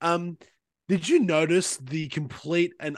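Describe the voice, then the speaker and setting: Against a quiet background, a man with an Australian accent speaks with ordinary pitch variation in a dry, close sound with no echo. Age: 20s. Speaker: podcast co-host. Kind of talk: casual chat.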